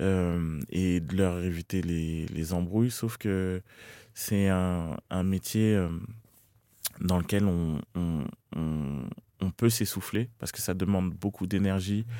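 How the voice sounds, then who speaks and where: A man speaks at a very slow pace with a very deep, low pitch and a dark, mellow tone, his ordinary pitch variation broken by long, frequent pauses, on a very clean recording with a silent background. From Boulogne-Billancourt, Paris region (Hauts-de-Seine), Cameroonian family. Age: young. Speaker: rapper. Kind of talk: interview. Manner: halting, many repetitions.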